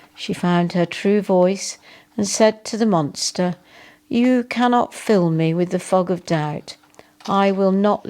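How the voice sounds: The voice reads aloud naturally. Pitch shifts only in an ordinary way.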